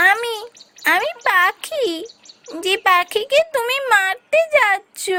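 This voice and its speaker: Using a cartoonish character voice, a woman speaks at a very slow pace in an extremely high pitch. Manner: calm, assured.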